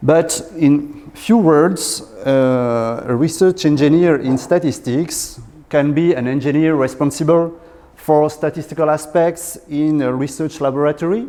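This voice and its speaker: At a fairly slow pace, a man with a southwestern French accent speaks at a fairly high pitch. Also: fairly even intonation. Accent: French accent, from Southwest France. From Southwest France. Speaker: research engineer in statistics. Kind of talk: lecture. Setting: lecture hall with audience. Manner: halting, many fillers.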